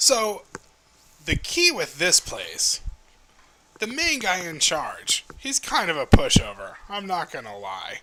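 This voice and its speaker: A put-on character voice goes at a fairly slow pace, broken by long, frequent pauses. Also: man, high pitch for a man. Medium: actual play. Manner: talkative, indignant, quick to complain.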